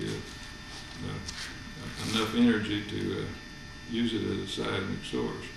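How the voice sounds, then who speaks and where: A man talks fairly slowly while noticeable background noise carries on around him. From Iowa. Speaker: retired geophysical engineer. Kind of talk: interview answer.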